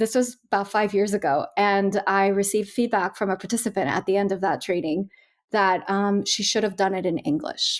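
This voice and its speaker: A woman speaks in a Californian accent at a moderate pace. Her pitch is medium. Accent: American (Californian). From California, raised by Colombian immigrant family. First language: Spanish. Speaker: learning and development trainer. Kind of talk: podcast panel discussion.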